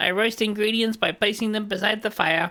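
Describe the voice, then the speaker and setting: The speaker uses a put-on character voice and keeps to a moderate pace. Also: man. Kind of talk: flat, mechanical.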